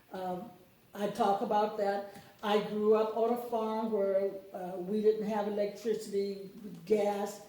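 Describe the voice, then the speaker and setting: A woman with a Mississippi accent speaks at medium pitch and a fairly slow pace in a monotone, flat way, with audible room echo and noticeable background noise. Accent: Southern US (Mississippi). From US South, Mississippi (Lawrence County). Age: 70s. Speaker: book author. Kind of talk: interview. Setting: radio studio.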